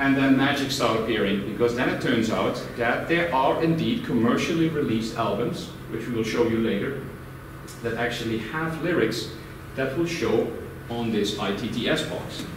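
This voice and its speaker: Ordinary pitch variation from a man at a moderate pace, with noticeable background noise and audible echo in the room. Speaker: presenter. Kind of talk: presentation talk. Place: meeting room. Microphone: camera far.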